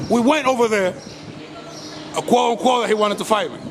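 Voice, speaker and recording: Loud and very fast, a man talks with an American accent at a high pitch. His intonation is fairly even, and there is noticeable background noise. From Los Angeles, US. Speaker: YouTuber filming police and public encounters. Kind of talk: confrontational street talk to camera. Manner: strong forceful tone.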